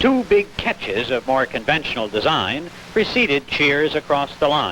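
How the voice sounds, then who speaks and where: Noticeable background noise sits behind a man with a fairly high pitch speaking at a moderate pace. His pitch swings very widely while his loudness stays very even. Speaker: news reporter / sports commentator. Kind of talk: vintage broadcast news report narration.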